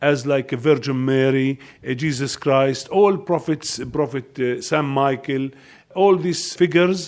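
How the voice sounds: The speaker is a man with a slightly mellow tone. He talks at a fairly slow pace with ordinary pitch variation.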